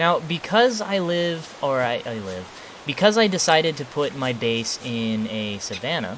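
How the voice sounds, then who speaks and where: The speaker moves at a fairly slow pace. Behind the voice there is noticeable background noise. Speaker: gaming YouTuber. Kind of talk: gameplay commentary. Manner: casual.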